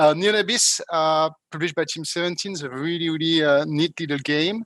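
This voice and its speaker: A man with a French accent speaks at a fairly quick pace, his fairly high pitch following fairly even intonation. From France. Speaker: PR and marketing agency owner. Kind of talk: casual self-introduction. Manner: hesitant, many fillers.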